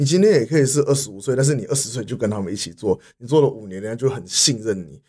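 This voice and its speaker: A medium-pitched man talks at a very fast pace with hardly any pauses, lively intonation and big swings in loudness. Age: 20s. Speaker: city government foreign affairs official. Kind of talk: interview. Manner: halting, many fillers.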